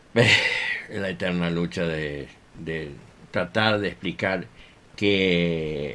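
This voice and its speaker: The speech moves at a very slow pace. Its pitch varies in an ordinary way. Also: man, very deep, low pitch for a man. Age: 60s. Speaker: violinist and music teacher. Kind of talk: radio interview. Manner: hesitant, many fillers.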